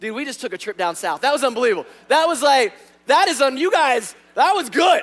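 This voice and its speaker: Music plays behind a man talking at a very fast pace. His pitch swings very widely. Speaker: pastor. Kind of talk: sermon. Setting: church. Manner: animated.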